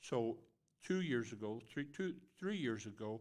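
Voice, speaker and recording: A man is speaking. He keeps a moderate pace. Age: 60s. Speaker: state legislator, election candidate. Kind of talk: candidate forum answers.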